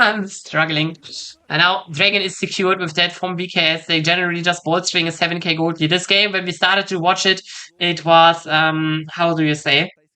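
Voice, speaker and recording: A woman speaks at a fairly quick pace with a fairly low pitch. Her tone is bright and sharp, and the background is quiet. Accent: non-native. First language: not English. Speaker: esports co-streamer, caster. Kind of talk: live commentary. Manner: hesitant, many fillers; excited.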